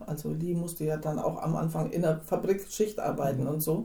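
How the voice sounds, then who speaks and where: A somewhat breathy woman speaks at a moderate pace with fairly even intonation in a room with audible echo. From Hinterland region of Hesse, Germany. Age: 60s. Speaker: church member, wife in an intercultural marriage. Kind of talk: interview.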